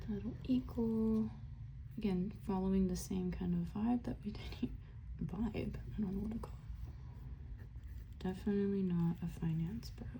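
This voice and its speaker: A soft-spoken whisper at a fairly slow pace. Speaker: college student studying investments. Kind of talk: casual ASMR study-with-me talk to camera. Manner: soft-spoken, whispery.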